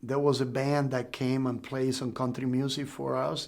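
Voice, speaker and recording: A man with a Cuban accent. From Cuba, Pinar del Rio. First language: Spanish. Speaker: Cuban refugee and drummer. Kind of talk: interview testimony.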